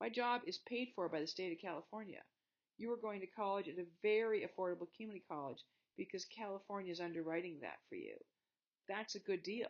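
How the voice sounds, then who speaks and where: The speech comes at a very fast pace. It carries an American accent. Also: woman. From Montana, US. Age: 60s. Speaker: college history teacher. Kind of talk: lecture. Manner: animated.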